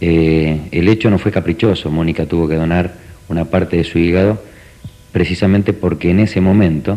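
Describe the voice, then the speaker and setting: With a very deep, low pitch, a man speaks in a fairly even intonation. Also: moderate pace, very even loudness. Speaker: parent of transplant patient. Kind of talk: TV interview.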